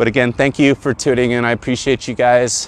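A man speaks at a medium pitch. Noticeable background noise runs behind him. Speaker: philosophy vlogger. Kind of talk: walk-and-talk monologue. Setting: outdoors, walking.

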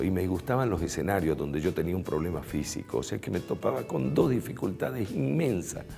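Faint music plays in the background as a man talks at a fairly quick pace. His very deep, low voice makes very wide pitch swings. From Bolivian Chaco. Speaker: radio announcer and TV presenter. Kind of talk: interview answer. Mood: warm, reflective. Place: studio. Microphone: lapel.

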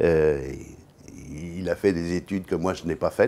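At a fairly slow pace, a man speaks in a very deep, low voice. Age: 70s. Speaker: business executive; interview guest. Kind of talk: interview. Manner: halting. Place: studio. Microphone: lapel.

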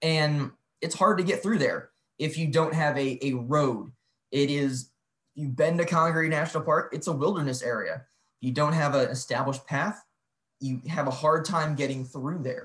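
Against a quiet background, a man with an American accent speaks at a moderate pace with ordinary pitch variation. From US Midwest. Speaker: national park historian; presenter. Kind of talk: online lecture presentation. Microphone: video call.

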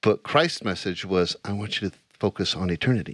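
A man talks at a moderate pace. The sound is dry with no echo and the background is quiet. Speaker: Bible study show host. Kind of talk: casual Bible study discussion. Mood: warm, earnest. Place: studio. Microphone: studio mic.

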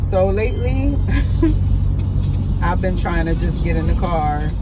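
Over loud background noise, a woman talks at a moderate pace with a dry sound and no echo. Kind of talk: casual vlog chat. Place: car. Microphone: phone near.

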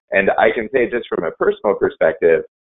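A man at a fairly quick pace over a quiet background. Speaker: statistician presenting research. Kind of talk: webinar presentation. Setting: video call. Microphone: video call.

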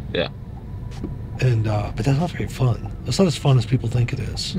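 A man talks at a fairly quick pace with a dry sound and no echo, over noticeable background noise. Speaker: interviewee. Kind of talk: interview answer. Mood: relaxed, amused storytelling. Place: car.

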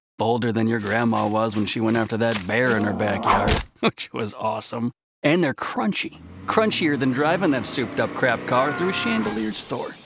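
At a moderate pace, a man speaks in a dry recording with no echo and noticeable background noise. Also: ordinary pitch variation. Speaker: voice actor. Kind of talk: TV commercial read. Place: booth.

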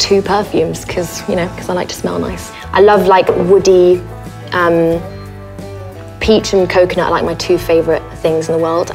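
Clear background music behind a woman's fairly quick delivery. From France. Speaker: actress. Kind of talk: casual talk to camera. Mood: playful, light, chatty. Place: home room.

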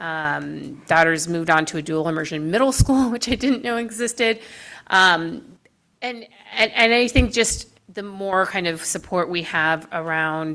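The tone is bright and sharp, with lively intonation. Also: woman, fairly low pitch for a woman. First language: Spanish. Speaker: board commissioner. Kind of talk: public meeting discussion.

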